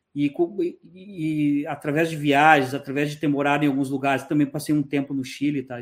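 Delivered at a fairly quick pace, the speech has monotone, flat intonation with big swings in loudness. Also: man. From southern Brazil, Porto Alegre. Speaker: emigration YouTuber. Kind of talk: interview.

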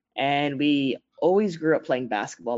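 With ordinary pitch variation and a fairly high pitch, a man speaks in an unremarkable speaking voice. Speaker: entrepreneur. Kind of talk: interview.

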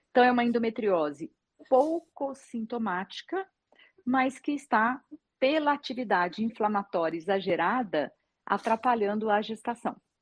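In a plain, everyday voice, a woman talks at a moderate pace with a fairly high pitch and lively intonation, recorded with a dry, close sound with no echo. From Minas Gerais, Brazil. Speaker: gynecologist. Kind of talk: interview on live stream. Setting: live video stream.

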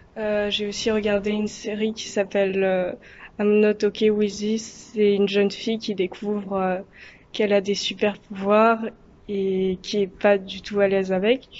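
A woman at a fairly slow pace, monotone and flat in intonation. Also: medium pitch for a woman. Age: 20s. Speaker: history student. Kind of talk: recorded video testimony.

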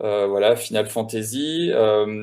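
A man speaks in a dark, mellow tone. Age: 40s. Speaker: video game composer. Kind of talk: explanatory talk. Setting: remote call.

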